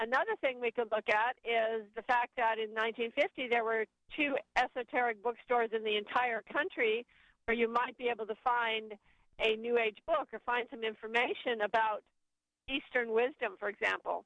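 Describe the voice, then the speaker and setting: A plain, everyday voice delivered at a moderate pace with fairly even intonation. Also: woman, fairly high pitch for a woman. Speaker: author and educator. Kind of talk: interview and guided meditation.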